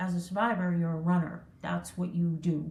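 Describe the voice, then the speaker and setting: Her voice is somewhat breathy with a medium pitch. Audible room echo surrounds this woman's speech. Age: 60s. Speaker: entrepreneur. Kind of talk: interview. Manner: casual, filler-heavy.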